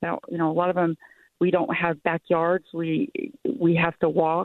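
A woman's normal speaking voice at a moderate pace. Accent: American. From Salt Lake City, Utah. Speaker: caller. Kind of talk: radio call-in question.

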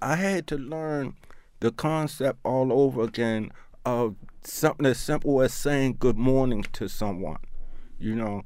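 This man has an ordinary speaking voice with an American accent, a medium pitch and ordinary pitch variation, at a fairly slow pace. The recording is very clean, with a silent background. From Baltimore, Maryland (East Baltimore). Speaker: person in long-term addiction recovery. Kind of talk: interview testimony.

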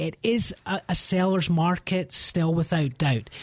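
A man speaks in a Scottish accent. His pitch is high. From Scotland. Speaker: realtor. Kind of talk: radio interview.

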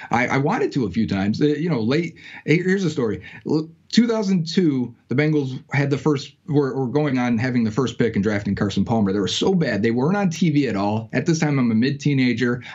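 Speaking fairly quickly with lively intonation, a man with an American accent has a normal speaking voice at medium pitch. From Western New York. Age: 30s. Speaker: sports podcaster. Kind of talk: casual interview.

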